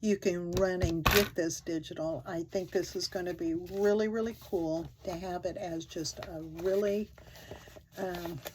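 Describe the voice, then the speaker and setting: Speaking at a fairly slow pace, a woman with a fairly low pitch keeps her intonation fairly even over noticeable background noise. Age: 70s. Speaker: crafting channel host. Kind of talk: craft tutorial. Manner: casual, halting with frequent 'um'.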